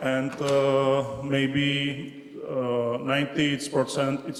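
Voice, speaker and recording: A man with a Czech accent at medium pitch, with audible room echo and noticeable background noise. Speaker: regional project officer. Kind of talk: conference presentation. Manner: halting, broken English.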